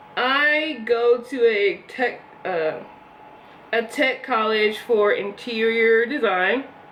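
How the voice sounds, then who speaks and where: Noticeable background noise sits behind a woman who speaks at a very slow pace with ordinary pitch variation. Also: fairly high pitch for a woman. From US Northeast, Philadelphia. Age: 20s. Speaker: beauty vlogger. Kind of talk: casual chat. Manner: casual, rambling with fillers.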